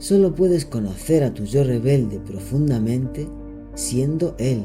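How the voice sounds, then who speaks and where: Music is playing behind the voice. The words come out very slowly. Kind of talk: guided meditation narration. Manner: calm, slow, soothing.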